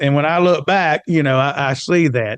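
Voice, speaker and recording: Recorded dry and close with no echo against a quiet background, the speaker uses an American accent, a moderate pace and ordinary pitch variation. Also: man. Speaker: economic development consultant. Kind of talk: interview conversation. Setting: podcast studio.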